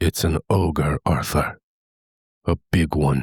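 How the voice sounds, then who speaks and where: A quiet, very slow put-on character voice from a man, very deep and low in pitch, with fairly even intonation and a dry, close sound with no echo. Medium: read story. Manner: hushed, blunt.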